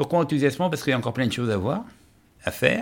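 A man's voice with ordinary pitch variation. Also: very clean recording, silent background. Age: 50s. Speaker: person living with HIV. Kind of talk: testimony. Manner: halting.

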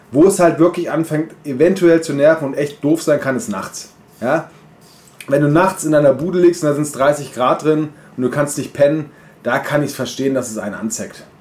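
Speaking at a moderate pace, a man has an unremarkable speaking voice, a fairly high pitch and ordinary pitch variation. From German village near Bamberg. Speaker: podcast co-host. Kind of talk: casual chat.

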